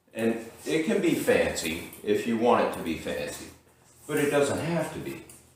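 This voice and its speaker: Fairly slow male speech with audible room echo. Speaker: boxing instructor. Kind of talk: tutorial. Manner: casual.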